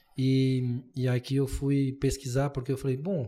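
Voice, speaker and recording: On a very clean recording with a silent background, a man speaks with a fairly high pitch and a dark, mellow, somewhat breathy tone. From Brazil, interior of São Paulo state. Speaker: podcast host and lawyer. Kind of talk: casual interview chat.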